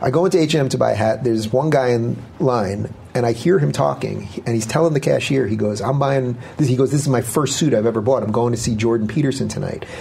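Over noticeable background noise, a man speaks at a very fast pace with a medium pitch and lively intonation. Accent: American. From New York, Long Island. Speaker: political talk show host. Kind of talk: interview conversation.

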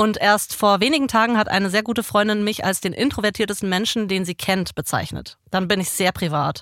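An ordinary speaking voice at a fairly quick pace, with ordinary pitch variation, hardly any pauses, and a very clean recording with a silent background. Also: woman, medium pitch for a woman. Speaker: podcast co-host, stage performer. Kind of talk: casual chat. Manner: laughs often, casual.

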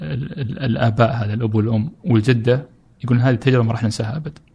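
A man speaks at a medium pitch with a somewhat breathy voice. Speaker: photographer and traveler. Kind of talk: casual interview chat.

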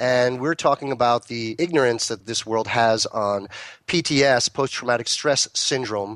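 A man with a plain, everyday voice, medium pitch, and ordinary pitch variation over a quiet background. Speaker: radio host and cannabis grow consultant. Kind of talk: interview.

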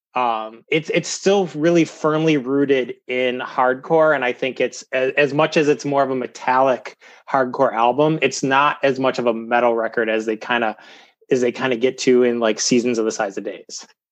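Against a quiet background, a man speaks with an Ohio accent. His pace is moderate and his intonation fairly even. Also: medium pitch for a man. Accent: Midwestern American (Ohio). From US Midwest, Cleveland, Ohio. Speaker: podcast guest, hardcore music fan. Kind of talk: casual chat.

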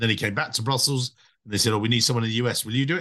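A medium-pitched man at a very fast pace with ordinary pitch variation against a quiet background. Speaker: podcast host and treasury recruiter. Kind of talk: podcast interview. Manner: energetic.

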